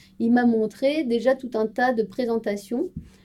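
A woman speaks with a dark, mellow tone. Her pace is very slow. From France, Strasbourg (Alsace). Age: 30s. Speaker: corporate intrapreneur, marketing project manager. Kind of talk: interview.

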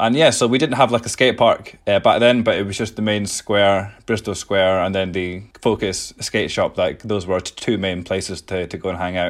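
A man with an Edinburgh accent speaks at a moderate pace and a fairly low pitch, with ordinary pitch variation and hardly any pauses. The recording is very clean, with a silent background. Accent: Scottish (Edinburgh). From Scotland, Edinburgh. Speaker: skateboarding charity founder. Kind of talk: interview.

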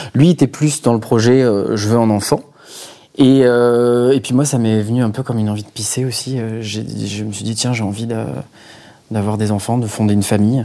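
Here a man speaks at medium pitch and a moderate pace. His tone is dark and mellow, and his intonation fairly even. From Marseille, southern France. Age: 30s. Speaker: banker and father. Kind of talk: casual interview. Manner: hesitant, many fillers.

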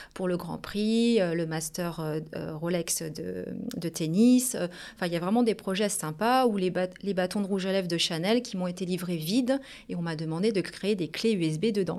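A woman talks at a moderate pace in a plain, everyday voice. Her pitch is fairly low, with ordinary pitch variation. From Paris region, Portuguese family. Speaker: business owner. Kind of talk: interview.

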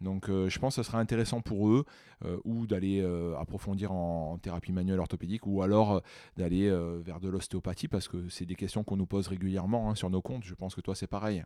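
Very deep and low, a man's voice has a dark, mellow tone and fairly even intonation at a fairly quick pace. The recording is very clean, with a silent background. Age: 30s. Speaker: physiotherapist and osteopath. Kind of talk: casual interview.

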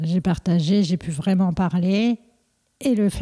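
Over a silent background on a very clean recording, a woman talks at a fairly slow pace in a dark, mellow, somewhat breathy tone. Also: dry, close sound with no echo. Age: 40s. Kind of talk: interview. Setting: at her home. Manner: halting.

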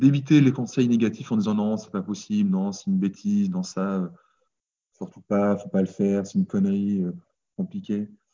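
A man speaks at a moderate pace with a fairly low pitch. His intonation is lively, broken by long, frequent pauses. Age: 30s. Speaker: farmer and former accountant. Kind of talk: casual interview.

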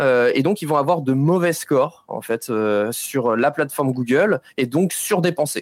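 On a very clean recording with a silent background, a man with a fairly high voice speaks at a fairly slow pace with ordinary pitch variation. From France, Nantes. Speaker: digital advertising expert. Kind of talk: interview explanation. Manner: hesitant with frequent euh fillers.

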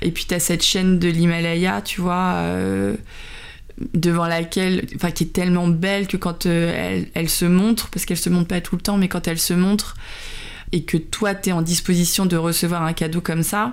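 This woman talks at a moderate pace with a fairly low pitch. Her intonation stays fairly even. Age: 40s. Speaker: color designer and video blogger. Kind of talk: casual chat. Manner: hesitant, many fillers.

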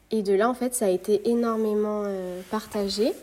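A woman's dark, mellow voice of medium pitch, fairly slow in pace, with fairly even intonation. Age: 20s. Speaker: ceramicist. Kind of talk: interview. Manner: hesitant, many fillers.

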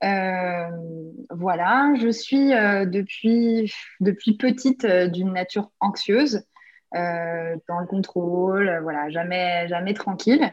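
Speaking very slowly, a woman uses a medium-pitched voice with ordinary pitch variation. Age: 30s. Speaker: artist and decorator sharing her healing story. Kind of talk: testimony. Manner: halting, many repetitions and fillers.

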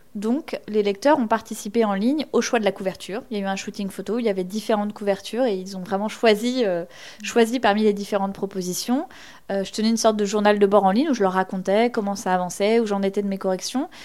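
This woman speaks at a very fast pace and a medium pitch. Her intonation is fairly even. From Normandy (Basse-Normandie, Orne). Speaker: novelist. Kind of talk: interview.

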